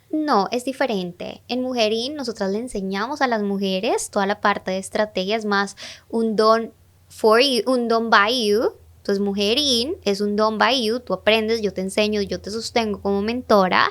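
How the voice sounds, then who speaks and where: Talking at a moderate pace, a woman uses a fairly high pitch. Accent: Latin American. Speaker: digital marketing mentor and entrepreneur. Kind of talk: podcast interview. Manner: animated.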